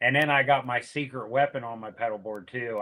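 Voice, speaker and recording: A man with an American accent uses an ordinary speaking voice at medium pitch, with fairly even intonation. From Pennsylvania. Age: 60s. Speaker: music promoter and guitarist. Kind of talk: casual chat.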